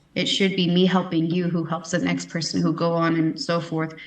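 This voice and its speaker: A woman with an American accent, fairly low in pitch, at a moderate pace, with audible room echo. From Texas. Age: 30s. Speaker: pageant titleholder and houseparent. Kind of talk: interview.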